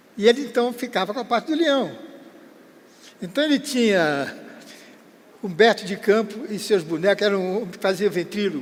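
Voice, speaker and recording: Pausing long and often, a man with a high pitch speaks with lively intonation. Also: moderate pace. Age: 80s+. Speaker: veteran entertainer. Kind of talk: interview storytelling. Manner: casual, halting.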